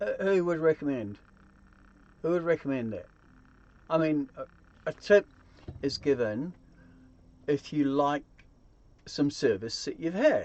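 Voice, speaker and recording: A fairly high-pitched man talks with lively intonation. He goes at a fairly slow pace with long, frequent pauses. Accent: New Zealand. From New Zealand. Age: 60s. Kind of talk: casual talk to camera.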